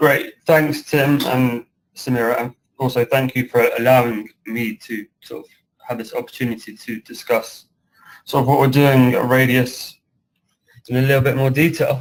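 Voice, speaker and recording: Speaking with a British accent, a man keeps a medium pitch, fairly even intonation and a moderate pace. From UK. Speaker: construction project director. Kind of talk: webinar presentation.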